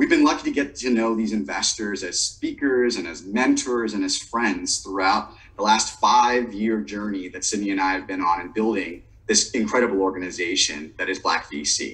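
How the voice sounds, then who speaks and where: A man at a moderate pace, with hardly any pauses. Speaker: event co-host. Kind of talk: webinar introduction. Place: home room. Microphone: webcam.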